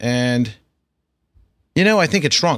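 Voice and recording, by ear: Over a very clean recording with a silent background, the speaker uses an American accent, a slow pace, lively intonation and a fairly bright tone. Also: man, medium pitch for a man.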